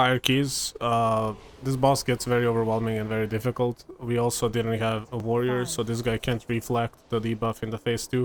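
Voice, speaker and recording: A man of medium pitch talks at a fairly quick pace with a Serbian accent. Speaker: gaming content creator. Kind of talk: gameplay commentary. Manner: casual, filler-heavy.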